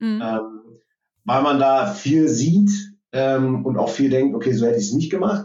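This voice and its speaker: The speaker is a man at medium pitch. His intonation is lively. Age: 30s. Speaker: IT manager. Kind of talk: interview. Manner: hesitant, many fillers.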